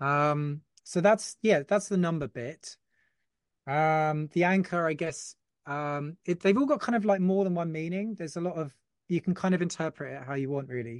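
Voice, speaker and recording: A man with a southern English accent speaks in a high voice. The sound is dry and close with no echo, over a quiet background. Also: ordinary pitch variation, moderate pace. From Folkestone, Kent, southern England. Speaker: t-shirt brand owner. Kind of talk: casual chat.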